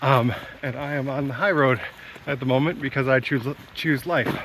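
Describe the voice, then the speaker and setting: Light background noise sits under a man speaking at a fairly quick pace with ordinary pitch variation, the sound dry and without echo. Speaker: hiker vlogger. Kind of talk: casual vlog chat. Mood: relaxed, amused. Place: forest. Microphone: phone near.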